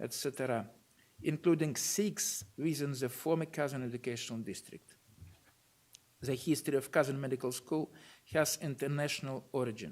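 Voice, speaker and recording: A man with a Russian accent at fairly high pitch, ordinary pitch variation and a moderate pace, broken by long, frequent pauses. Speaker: university rector giving a lecture. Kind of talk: lecture read from notes. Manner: formal.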